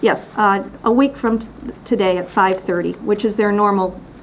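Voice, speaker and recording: A woman speaks at a medium pitch and moderate pace. Her intonation is fairly even over noticeable background noise. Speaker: public commenter at county meeting. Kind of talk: public comment.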